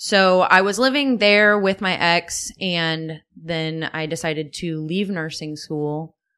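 Speaking at a very slow pace with hardly any pauses, a woman with an American accent has a fairly low pitch, ordinary pitch variation and a bright, sharp tone. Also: quiet background. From Wood River, Illinois. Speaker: podcast guest. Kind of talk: casual interview.

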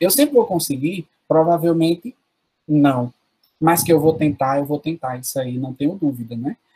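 A man talks at a moderate pace in a dark, mellow tone. The sound is dry and close, with no echo. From Paraíba backlands (sertão), Brazil. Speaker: teacher. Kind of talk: interview.

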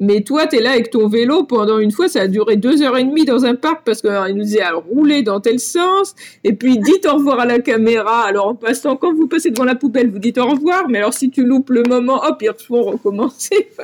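A woman speaks in a high pitch with lively intonation and hardly any pauses. Her loudness stays very even. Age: 40s. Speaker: long-distance cyclist. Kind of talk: interview.

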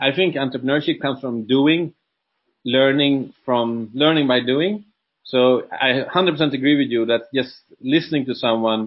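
In a Swedish accent, a man speaks at a moderate pace and medium pitch with ordinary pitch variation. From Sweden. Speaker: entrepreneur and coach. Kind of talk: interview. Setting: video call.

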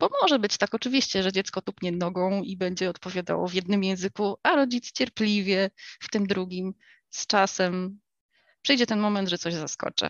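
This woman uses a normal speaking voice with ordinary pitch variation. Her pitch is medium and her pace moderate. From United States. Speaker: homeschooling mother. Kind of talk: interview.

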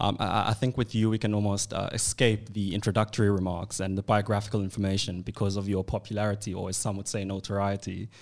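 In a very clean recording with a silent background, a man with a fairly low voice talks at a very fast pace in a flat monotone, hardly pausing at all. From South Africa, KwaZulu-Natal. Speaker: podcast host, student interviewer. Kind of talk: interview. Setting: studio.

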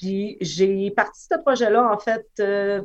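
A woman speaks at a fairly high pitch. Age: 30s. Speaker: musician. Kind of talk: casual chat.

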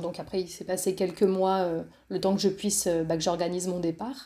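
The woman has a dark, mellow tone. Her pitch varies in an ordinary way. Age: 30s. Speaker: entrepreneur and coach. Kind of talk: interview.

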